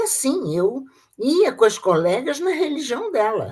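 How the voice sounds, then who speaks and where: The speaker has a Rio de Janeiro accent and a fairly slow pace. The voice moves through very wide pitch swings. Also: woman. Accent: carioca. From Brazil, Rio de Janeiro. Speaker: retired teacher, Freemason. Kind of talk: interview testimony. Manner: halting, with repetitions.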